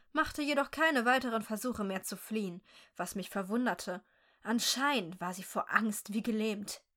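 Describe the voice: Simple, plain reading aloud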